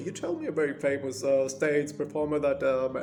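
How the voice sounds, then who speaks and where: At a moderate pace, a man with a fairly high-pitched voice speaks over noticeable background noise. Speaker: actor. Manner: hesitant, lots of filler sounds.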